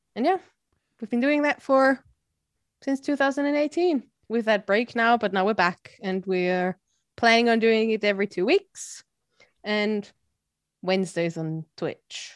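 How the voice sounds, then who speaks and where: The speaker has an Austrian accent and lively intonation, with long, frequent pauses. The sound is dry and close, with no echo. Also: woman, fairly high pitch for a woman, fairly slow pace. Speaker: podcaster. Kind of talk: casual chat. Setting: video call.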